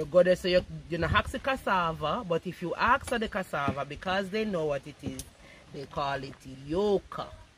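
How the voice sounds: A woman speaks at a moderate pace. Her pitch sits fairly low, with lively intonation.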